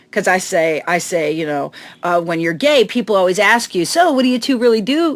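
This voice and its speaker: A woman with a slight Chicago accent, fairly quick, with very wide pitch swings. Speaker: comedian. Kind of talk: casual chat. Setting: on a boat in a harbor.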